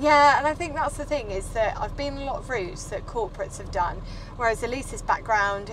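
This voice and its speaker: With very wide pitch swings, a woman speaks at a moderate pace over noticeable background noise. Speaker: vlogger driving. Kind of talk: casual vlog chat. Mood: reflective, warm. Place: car. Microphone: phone near.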